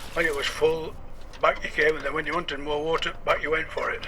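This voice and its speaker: A man speaks in a strong Yorkshire accent. Noticeable background noise runs behind him. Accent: thick Yorkshire. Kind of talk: radio interview answer.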